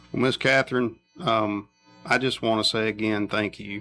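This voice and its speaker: A man with a Tennessee accent talks at a moderate pace in a fairly low voice while music plays in the background. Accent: Southern US (Tennessee). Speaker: county sheriff running for re-election. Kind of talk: casual radio chat. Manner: halting, many repetitions.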